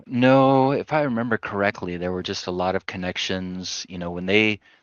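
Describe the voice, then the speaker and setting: Using a normal speaking voice, a man talks at a moderate pace with fairly low pitch and ordinary pitch variation. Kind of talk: podcast interview.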